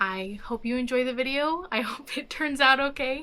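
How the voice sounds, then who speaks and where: A woman speaks in a raised, projected voice at a high pitch. She uses ordinary pitch variation at a moderate pace. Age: 20s. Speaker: travel vlogger. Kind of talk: vlog.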